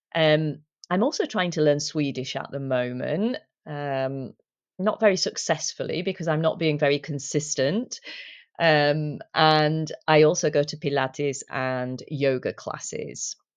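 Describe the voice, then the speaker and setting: In a British accent, a woman speaks at a fairly slow pace with ordinary pitch variation. Her pitch is very deep and low. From UK. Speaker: English teacher and language coach. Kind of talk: talk. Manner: hesitant fillers.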